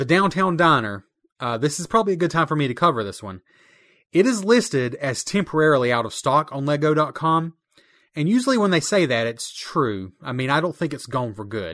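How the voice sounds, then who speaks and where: Spoken at a fairly quick pace with very wide swings in pitch, on a very clean recording with a silent background. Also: man, fairly high pitch for a man. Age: 30s. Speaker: podcast host reviewing toy building sets. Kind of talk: solo product review podcast. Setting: home recording with video while building. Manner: hesitant, many fillers and repetitions.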